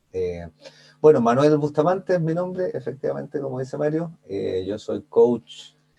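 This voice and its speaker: Fairly high in pitch with a dark, mellow tone, a man speaks at a moderate pace with very wide pitch swings. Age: 40s. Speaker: life coach. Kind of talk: interview.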